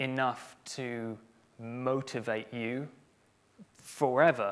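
A man speaks at a very slow pace with fairly even intonation. Long pauses come often. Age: 20s. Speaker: community manager; conference speaker. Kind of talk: conference talk. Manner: halting. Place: stage.

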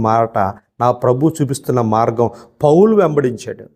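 This man's voice has a dark, mellow tone and a medium pitch. His pitch moves in an ordinary way. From Andhra Pradesh, Mandapeta (East Godavari). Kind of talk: sermon. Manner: animated.

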